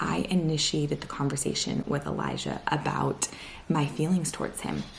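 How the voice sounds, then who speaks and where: Noticeable background noise sits behind a woman speaking at a very deep, low pitch. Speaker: lifestyle vlogger. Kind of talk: casual talk to camera. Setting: at home. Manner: quiet. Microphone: quiet recording.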